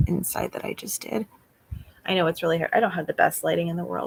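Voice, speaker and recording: The recording of a woman has a dry, close sound with no echo. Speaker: beauty vlogger. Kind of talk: casual chat. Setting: livestream.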